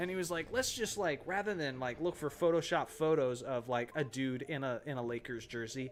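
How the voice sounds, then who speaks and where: Noticeable background noise sits behind a man with a fairly high pitch. He speaks at a fairly quick pace with lively intonation. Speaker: gaming streamer. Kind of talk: live stream gameplay chat. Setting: live stream.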